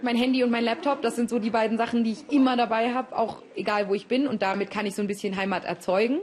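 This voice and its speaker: A woman's fairly high voice at a very fast pace with hardly any pauses, ordinary pitch variation, and noticeable background noise. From Germany, early childhood in Kenya. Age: 20s. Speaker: law student. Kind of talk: interview. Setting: her room. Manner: casual, with hesitations and repetitions.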